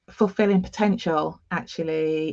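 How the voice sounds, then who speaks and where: The voice has a slight East Midlands accent and ordinary pitch variation. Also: woman. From England, East Midlands. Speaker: nurse and diversity consultant. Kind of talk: interview. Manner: halting with many fillers.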